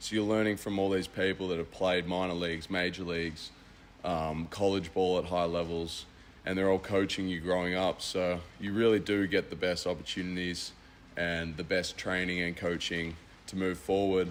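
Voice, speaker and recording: A man with an Australian accent talks at a moderate pace. His pitch is very deep and low, and his intonation is monotone and flat. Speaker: college baseball player. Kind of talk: radio interview.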